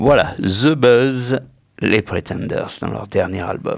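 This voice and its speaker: Speaking at a very slow pace, a man uses a fairly low pitch with vocal fry. His pitch swings very widely. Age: middle-aged. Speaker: radio music show host. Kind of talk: casual radio chat presenting music.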